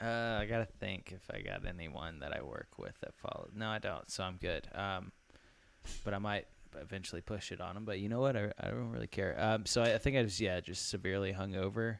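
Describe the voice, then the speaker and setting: A man with an American accent speaks at a fairly quick pace, fairly low in pitch and with vocal fry. The recording is very clean, with a silent background. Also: ordinary pitch variation. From Tennessee. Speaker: sports podcast co-host. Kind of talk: casual chat. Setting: at a football game, midfield seats.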